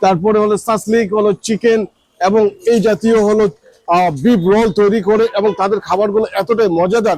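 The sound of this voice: A man's high-pitched voice, slightly mellow in tone, with fairly even intonation, a fairly quick pace and few pauses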